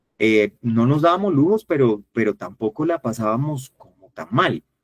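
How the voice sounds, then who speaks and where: In an unremarkable speaking voice, a man at medium pitch uses lively intonation at a moderate pace, the sound dry and close with no echo. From Colombia, Valle del Cauca. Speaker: workshop facilitator. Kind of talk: online workshop talk.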